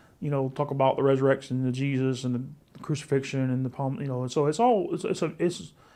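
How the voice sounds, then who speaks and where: Against a quiet background, a man with a fairly high pitch and a dark, mellow tone speaks very fast, with ordinary pitch variation. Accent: Southern US. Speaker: pastor. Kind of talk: casual chat. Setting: live stream at home.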